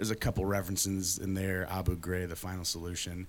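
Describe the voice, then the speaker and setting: A man with an Upper Midwest accent speaks in a very deep, low voice. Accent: Upper Midwest American. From West Michigan (Ada, near Grand Rapids). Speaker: musician, band leader. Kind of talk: interview. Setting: studio with live audience. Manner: halting, many fillers.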